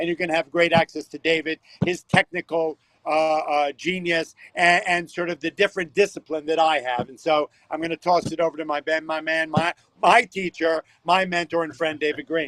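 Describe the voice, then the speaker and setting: A loud, energetic man speaks at a moderate pace with a fairly high pitch and a bright, sharp tone. The sound is dry and close, without echo. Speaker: stock exchange floor trader. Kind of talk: livestream pitch. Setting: stock exchange floor.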